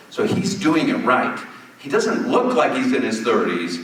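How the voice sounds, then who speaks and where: Animated and at a moderate pace, a man speaks. Audible room echo and noticeable background noise surround him. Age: 60s. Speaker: telemedicine company founder. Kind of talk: keynote conversation on stage. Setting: stage with audience. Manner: animated storytelling.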